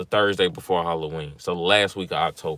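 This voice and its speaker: A man with a Mississippi accent speaks with ordinary pitch variation. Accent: Mississippi Southern. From Mississippi, US South. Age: 20s. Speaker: vlogger. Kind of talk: livestream vent, casual talk. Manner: casual, rambling with fillers.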